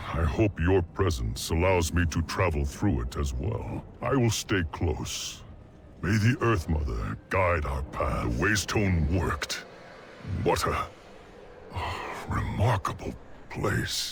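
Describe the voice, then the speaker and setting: A man's put-on character voice, very deep and low in pitch, at a fairly slow pace with long, frequent pauses over clear background noise. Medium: video game. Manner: grave, earnest.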